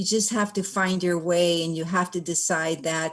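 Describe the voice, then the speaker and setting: A woman with an American accent has a plain, everyday voice, fairly low in pitch, at a moderate pace with fairly even intonation. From Oxnard, California. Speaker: honoree, former professional boxer and college counselor. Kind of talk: acceptance speech.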